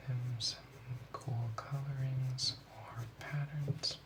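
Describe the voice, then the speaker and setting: Speech comes at a very slow pace in a calm tone. Noticeable background noise runs underneath. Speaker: ASMR creator playing a drawing teacher. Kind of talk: ASMR role play, drawing class instruction. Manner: soft, slow, calm.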